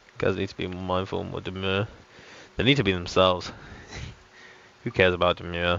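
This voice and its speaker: A man's very deep, low voice in a British accent, very fast, with big swings in loudness and long, frequent pauses. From United Kingdom. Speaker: game streamer. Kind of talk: casual live-stream commentary. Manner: animated.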